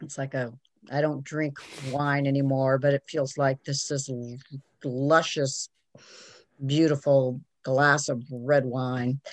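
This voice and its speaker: A woman speaks very slowly in a very deep, low monotone, leaving long, frequent pauses. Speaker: meditation group participant. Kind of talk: casual chat.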